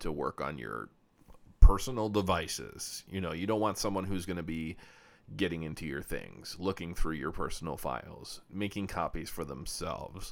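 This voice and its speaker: This man has a very deep, low pitch with vocal fry, speaking at a moderate pace with ordinary pitch variation. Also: very clean recording, silent background. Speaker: tech repair podcast host. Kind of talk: casual monologue. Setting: solo podcast recording. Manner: hesitant, many fillers.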